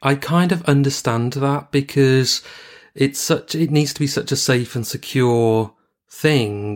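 In a very clean recording with a silent background, a man with an unremarkable speaking voice talks at a fairly slow pace, his fairly high pitch showing ordinary variation. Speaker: true crime podcast co-host. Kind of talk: casual chat.

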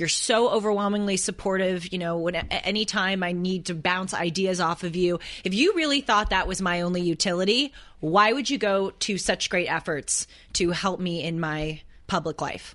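At a moderate pace, a woman speaks in an ordinary speaking voice at medium pitch. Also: ordinary pitch variation. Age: 20s. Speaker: podcast co-host. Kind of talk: casual chat.

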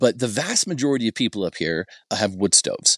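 A man has an unremarkable speaking voice at a medium pitch, with lively intonation and a dry, close sound with no echo over a quiet background. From Ohio, US Midwest. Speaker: mountain resident and social media personality. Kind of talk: casual interview chat.

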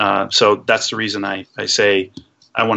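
A man speaks with a fairly low-pitched voice. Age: 40s. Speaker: mechanical engineer. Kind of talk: interview. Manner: halting.

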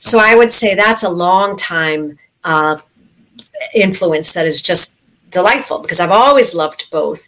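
A woman with a normal speaking voice talks at a fairly slow pace, medium pitch and ordinary pitch variation. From US, New York City. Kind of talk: interview.

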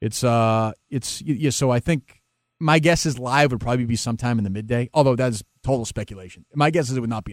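A man with an American accent at a very fast pace, dry and close with no echo, on a very clean recording against a silent background. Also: medium pitch for a man, ordinary pitch variation, big swings in loudness. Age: 40s. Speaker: sports talk radio host. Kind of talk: interview podcast.

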